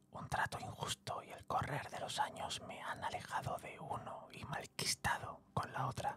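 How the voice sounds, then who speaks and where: A man whispers at a fairly slow pace. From Spain. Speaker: voice actor and narrator. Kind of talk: ASMR whispered story narration. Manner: intimate, whispered, soft.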